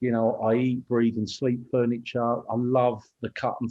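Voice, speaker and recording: A man with a British accent talks at a fairly slow pace and medium pitch. His intonation is monotone and flat. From Kent, southeast England. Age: 50s. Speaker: business owner. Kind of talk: interview.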